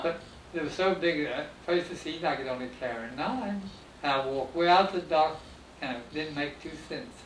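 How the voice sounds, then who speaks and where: The man's voice is fairly high, with ordinary pitch variation. His pace is moderate, and background noise is noticeable. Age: 80s+. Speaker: former pineapple carrier and boat owner. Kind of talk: oral history interview answer.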